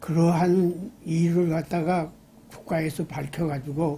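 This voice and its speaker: Very slow and fairly even in intonation, a man speaks with a high pitch and a dark, mellow tone. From Gangwon Province, South Korea. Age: 80s+. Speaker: former governor and lawmaker. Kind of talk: interview answer.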